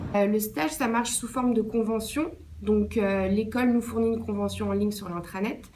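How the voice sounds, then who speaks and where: Audible room echo surrounds a woman speaking at a moderate pace, her pitch fairly high with ordinary variation. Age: 20s. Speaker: intern. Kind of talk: interview answers.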